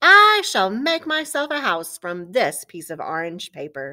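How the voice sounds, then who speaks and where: Putting on a character voice with very wide pitch swings, a woman speaks at a moderate pace in a very clean recording with a silent background. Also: fairly high pitch for a woman. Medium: read story.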